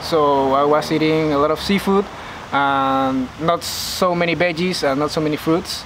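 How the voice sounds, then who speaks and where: Someone speaks at a moderate pace with a Panamanian accent, over noticeable background noise. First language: Spanish. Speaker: university student and vegan influencer. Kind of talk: interview. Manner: halting, many fillers.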